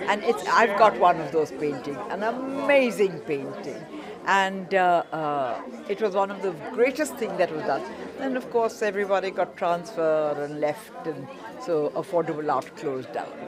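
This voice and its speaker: A woman with very wide pitch swings, audible room echo and crowd noise in the background. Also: medium pitch for a woman, moderate pace. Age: 80s+. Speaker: art auctioneer. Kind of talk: interview.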